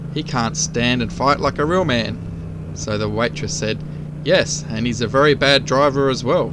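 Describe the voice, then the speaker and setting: With noticeable background noise behind him, a man with an Australian accent talks at a moderate pace in a fairly high pitch with ordinary variation. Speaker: motorcycle rider, DIY channel host. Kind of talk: casual joke telling to camera while riding. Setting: outdoors, on a motorcycle.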